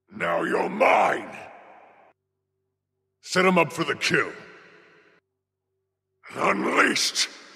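A man drags out a put-on character voice at a very slow pace. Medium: video game. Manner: forceful, aggressive battle shouts.

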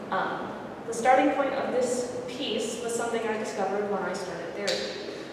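Amid strong room echo and noticeable background noise, a woman speaks at a moderate pace. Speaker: visual artist. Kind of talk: artist lecture. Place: hall. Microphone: camera far.

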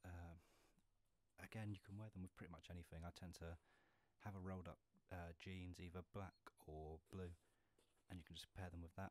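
In a dry sound with no echo, a man speaks with very deep, low pitch and monotone, flat intonation, leaving long, frequent pauses. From England. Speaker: ASMR and gaming YouTuber. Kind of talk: casual talk to camera, shoe collection show-and-tell. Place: home room.

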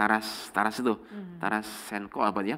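The background stays quiet. This man talks at a moderate pace. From Subang, West Java, Indonesia; West Java, Indonesia. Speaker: law professor and faculty dean; law professor. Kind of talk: casual interview. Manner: hesitant, many fillers. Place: studio. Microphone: lapel.

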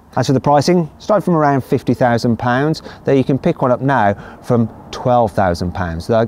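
A man speaks at a fairly slow pace with lively intonation, and light background noise can be heard. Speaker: car reviewer. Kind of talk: sponsored segment in a car review. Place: street.

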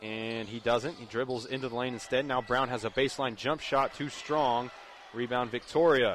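A man talks at a moderate pace in an animated, energetic tone, with a dry sound with no echo and light background noise. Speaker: radio play-by-play announcer. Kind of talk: live sports commentary. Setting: high school gym, radio broadcast. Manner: animated, energetic, occasionally stumbling over names. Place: stadium.

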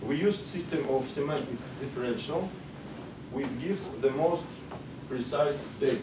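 Over noticeable background noise, a man with a Russian accent and a fairly high pitch talks at a moderate pace with ordinary pitch variation and long, frequent pauses. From Russia, Moscow. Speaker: sociologist, conference speaker; conference presenter. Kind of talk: conference presentation; lecture. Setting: stage with audience. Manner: halting. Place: meeting room.

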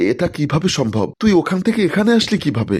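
In a very clean recording with a silent background, a man puts on a shaky character voice at a high pitch and moderate pace, with very wide pitch swings. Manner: trembling, scared.

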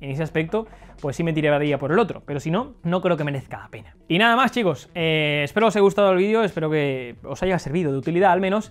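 Very fast and high-pitched, a man talks with lively intonation. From Spain. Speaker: tech video reviewer. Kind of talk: product review. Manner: casual, conversational. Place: home room. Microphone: lapel.

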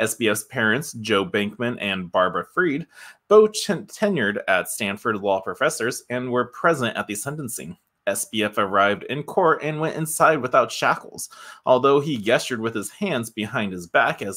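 A man's bright, sharp tone carries lively intonation. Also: moderate pace, quiet background. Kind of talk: commentary and article read-out. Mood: disapproving, sighing. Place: home room. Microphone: studio mic.

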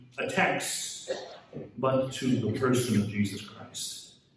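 The recording of a man carries audible room echo and light background noise. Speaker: speaker. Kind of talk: address to an audience. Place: hall. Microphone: camera far.

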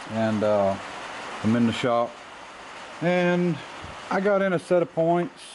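A man's voice comes through with noticeable background noise behind it. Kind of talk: casual workshop tutorial. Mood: relaxed, easygoing. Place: workshop. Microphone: camera far.

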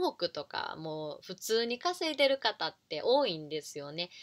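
Against a quiet background, a woman speaks at a fairly slow pace. Her pitch makes very wide swings. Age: 30s. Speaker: online business coach and YouTuber; online business coach. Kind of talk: casual talk to camera. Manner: informal with many fillers. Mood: friendly, smiling. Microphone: webcam.

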